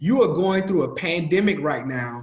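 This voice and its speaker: At a moderate pace, a man talks with a high pitch. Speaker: academic coach. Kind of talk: webinar presentation. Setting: webinar. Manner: casual, animated.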